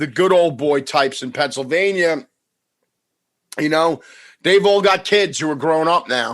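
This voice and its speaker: A man speaks at a fairly slow pace, leaving long, frequent pauses. His pitch varies in an ordinary way against a quiet background. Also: fairly high pitch for a man. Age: 50s. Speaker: podcast host. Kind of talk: casual chat.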